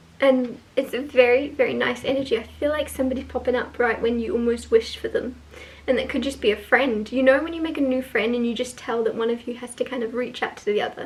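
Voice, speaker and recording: Over noticeable background noise, a high-pitched woman speaks at a very fast pace with fairly even intonation. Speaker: tarot reader. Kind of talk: tarot reading monologue. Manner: casual, hesitant with fillers.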